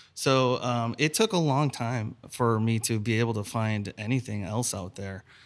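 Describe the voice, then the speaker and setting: Recorded very cleanly against a silent background, a man with a plain, everyday voice and an American accent talks at a moderate pace and medium pitch, with ordinary pitch variation and hardly any pauses. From Chicago. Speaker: restaurant owner. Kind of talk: casual chat.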